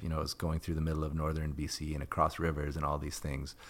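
In a very clean recording with a silent background, a man with a western Canadian accent speaks at a very deep, low pitch. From Canada, Edmonton, Alberta. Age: 40s. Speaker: environmental journalist and author. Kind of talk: casual interview.

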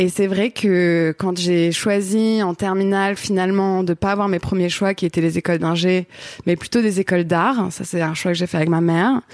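Her voice is a normal speaking voice at medium pitch, and this woman keeps a moderate pace, fairly even intonation and very even loudness in a dry, close sound with no echo. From Paris region, France. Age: 30s. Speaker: photographer, director and singer. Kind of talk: casual chat.

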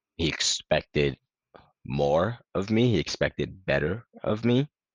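A man with an American accent and vocal fry speaks at a fairly slow pace with lively intonation. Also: dry, close sound with no echo. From Sierra Leone, then New York (Westchester) from 2002. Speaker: former college track athlete. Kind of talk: interview.

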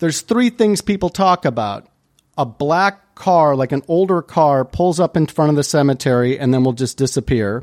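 A plain, everyday voice: a man with an American accent, fairly high pitch, lively intonation, very even loudness and a moderate pace, dry and close with no echo. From US Midwest, Chicago area. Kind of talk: casual chat.

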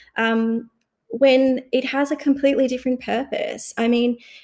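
A woman speaks with an Australian accent. Her tone is dark and mellow. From Australia, moved from Sri Lanka at age two. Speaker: lawyer and researcher. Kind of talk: casual chat. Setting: video call.

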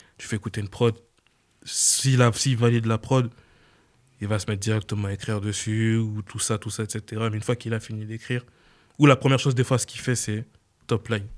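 A man at a fairly quick pace, monotone and flat, with big swings in loudness and long, frequent pauses, on a very clean recording with a silent background. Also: medium pitch for a man. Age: 20s. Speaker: music producer. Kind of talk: interview.

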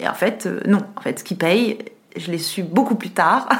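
A woman's medium-pitched voice with lively intonation at a moderate pace, over noticeable background noise. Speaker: TV journalist and presenter. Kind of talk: casual interview.

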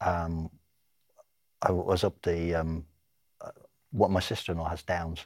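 A somewhat breathy man speaks on a very clean recording with a silent background. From Ireland. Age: 60s. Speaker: retired football referee. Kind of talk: interview.

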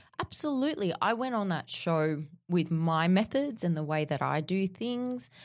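In a very clean recording with a silent background, a woman with an Australian accent and fairly low pitch talks at a moderate pace with very wide pitch swings. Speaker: fitness trainer. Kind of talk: interview.

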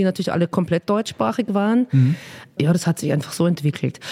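A woman speaks with a slight Viennese accent. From Austria. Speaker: children's songwriter and singer. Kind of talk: interview. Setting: office. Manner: animated.

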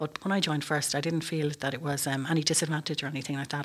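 Very fast and flat, a woman with an Irish Midlands accent speaks in a very deep, low pitch and a monotone. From Ireland, County Westmeath. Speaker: military officer, air traffic control commander. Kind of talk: interview.

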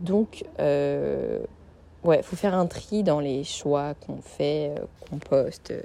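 A woman speaks at a very slow pace. Noticeable background noise can be heard. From Paris, France. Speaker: podcaster. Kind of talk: casual solo podcast monologue. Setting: recording at a friend's home in Lille. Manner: hesitant, many fillers.

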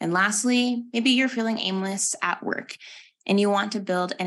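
A woman with an American accent talks at a medium pitch and a moderate pace, in a normal speaking voice with ordinary pitch variation. The background is quiet. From Texas. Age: 20s. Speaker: podcast host and mindfulness coach. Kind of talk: live workshop. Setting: live online session with chat.

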